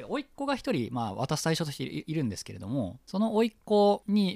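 At a fairly quick pace, the speaker's pitch swings very widely on a very clean recording with a silent background. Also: man, dry, close sound with no echo. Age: 30s. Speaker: podcast host. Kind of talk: casual chat. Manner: animated.

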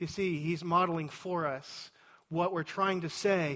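A man speaks with a Texan accent. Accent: Texan (US Southern). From Texas. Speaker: pastor. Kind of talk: sermon.

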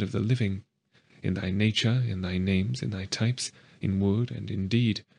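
Against a quiet background, a man with a normal speaking voice talks at a moderate pace with fairly even intonation. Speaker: audiobook narrator. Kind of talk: reading aloud of prayers. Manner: solemn, earnest, devout.

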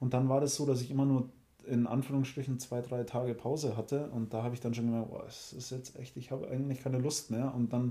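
The man's voice is somewhat breathy with a dark, mellow tone, and he talks at a very fast pace. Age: 30s. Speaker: podcast co-host. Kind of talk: casual chat.

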